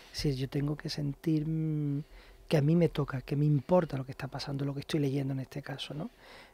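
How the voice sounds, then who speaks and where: A man's fairly quick, monotone, flat speech, fairly high in pitch, with a dry sound and no echo. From Andalusia, Spain. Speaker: film director. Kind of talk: interview. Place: studio. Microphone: studio mic.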